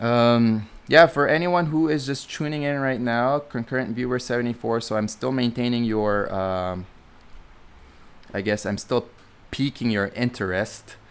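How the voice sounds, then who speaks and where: A man of medium pitch speaks at a fairly slow pace with ordinary pitch variation. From Philippines. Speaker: student pilot and vlogger. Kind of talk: live stream Q&A. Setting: live stream. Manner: casual, halting with many fillers.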